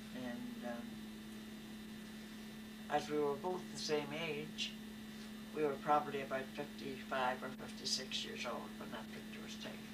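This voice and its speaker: A woman with long, frequent pauses amid loud background noise. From Belfast. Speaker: elderly family member recalling history. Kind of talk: interview answer. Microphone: old recording.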